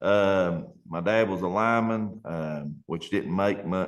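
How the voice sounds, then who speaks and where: A man speaks in an Appalachian accent. His pitch is fairly low. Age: 40s. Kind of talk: casual podcast conversation.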